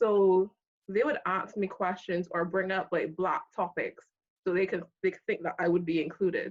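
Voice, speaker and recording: Speaking in a slight Barbadian accent, a woman uses a medium pitch with ordinary variation. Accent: slight Barbadian (Bajan). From Barbados. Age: 30s. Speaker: accountant. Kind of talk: casual chat.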